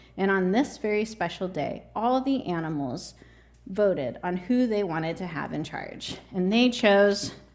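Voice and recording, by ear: A natural voice is heard reading aloud.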